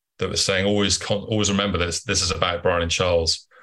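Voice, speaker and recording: Over a quiet background, a man talks at a fairly quick pace. His pitch is very deep and low, and his intonation fairly even. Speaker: actor and comedian. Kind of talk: casual interview chat. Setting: remote call.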